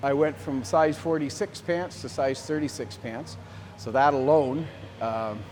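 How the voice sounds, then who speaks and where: This man has a Canadian prairie accent and medium pitch. His intonation is lively. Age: 60s. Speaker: farmer, gym client. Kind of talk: testimonial interview. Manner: casual, halting with fillers and repetitions.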